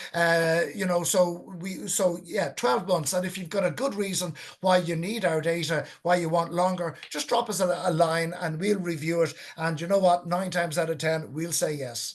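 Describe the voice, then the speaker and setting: A man with an Irish accent talks at a moderate pace in a high pitch, with fairly even intonation and hardly any pauses. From Ireland, County Wicklow. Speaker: whale and dolphin conservationist. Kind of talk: webinar Q&A. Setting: online webinar.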